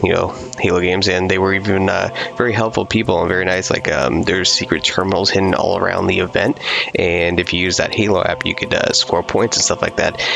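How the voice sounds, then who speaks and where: Over background music, the voice is quiet, very even in loudness, and very fast. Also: man. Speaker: gaming youtuber. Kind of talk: casual video review. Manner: quiet, low volume; hesitant, many fillers.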